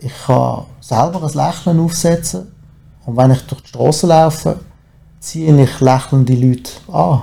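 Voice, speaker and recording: A man with a somewhat breathy, dark, mellow tone and a fairly high pitch speaks fairly slowly with long, frequent pauses. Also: ordinary pitch variation. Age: 40s. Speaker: recovering alcoholic. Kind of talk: testimony. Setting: studio.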